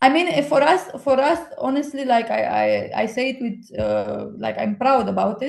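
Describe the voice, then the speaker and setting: With a Romanian accent, a woman speaks at a moderate pace over noticeable background noise. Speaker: book lover and friend of the host. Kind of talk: casual chat. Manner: animated; halting, many fillers.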